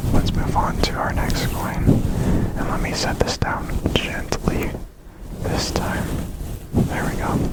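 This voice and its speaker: Someone whispers at a very slow pace with long, frequent pauses. Noticeable background noise runs underneath. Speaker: ASMR creator and coin collector. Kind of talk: ASMR coin showcase, whispered talk to camera. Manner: quiet, soft-spoken, slow.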